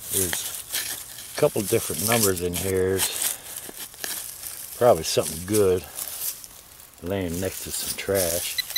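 A fairly slow pace, a dry sound with no echo, and noticeable background noise. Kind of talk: casual commentary while digging. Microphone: phone near.

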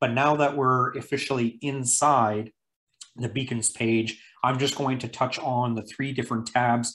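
The speaker is male. He moves at a moderate rate. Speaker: presenter. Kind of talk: tutorial.

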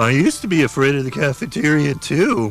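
A man does a cartoonish character voice at a moderate pace. Faint music plays in the background. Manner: earnest, rambling.

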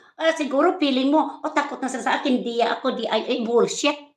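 Fairly quick, animated delivery with lively intonation, a quiet background and audible room echo. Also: woman. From Philippines. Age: 60s. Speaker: vlogger. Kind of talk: live stream rant. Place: home room. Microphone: phone near.

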